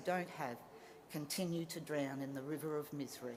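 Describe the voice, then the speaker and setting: Audible room echo carries a woman's passionate voice with an Australian accent, moderate pace and ordinary pitch variation. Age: 50s. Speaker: social worker. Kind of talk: graduation speech. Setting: stage with audience.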